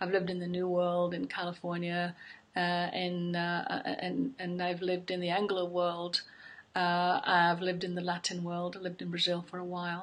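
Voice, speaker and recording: A woman at a moderate pace, her intonation monotone and flat. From England, Yorkshire. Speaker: psychology professor. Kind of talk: interview monologue. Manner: thoughtful, with frequent fillers.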